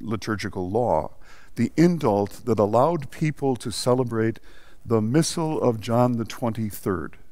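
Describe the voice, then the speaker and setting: A man talks at a fairly slow pace and medium pitch with lively intonation. Audible room echo surrounds his voice. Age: 70s. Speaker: priest and liturgy professor. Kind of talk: lecture. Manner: halting, with false starts.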